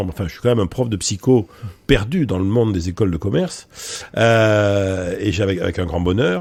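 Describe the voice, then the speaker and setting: A man's fairly low-pitched, fairly quick speech in a very clean recording with a silent background. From France, Bordeaux. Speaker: professor and public speaker. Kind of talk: interview conversation. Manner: hesitant, many fillers.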